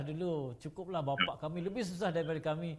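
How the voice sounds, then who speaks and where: The delivery is very fast. The man's pitch sits fairly high. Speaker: talk show host. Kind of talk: panel discussion.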